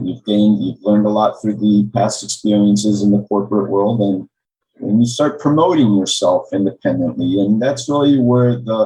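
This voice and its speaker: A man with an American accent talks at a moderate pace in a fairly low, dark and mellow voice with ordinary pitch variation. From Maryland, US. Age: 50s. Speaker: accountant, tax advisor. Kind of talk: podcast interview.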